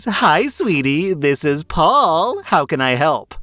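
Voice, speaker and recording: Putting on a character voice, a man talks at a fairly slow pace with lively intonation and a fairly high pitch. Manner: sweet, exaggerated.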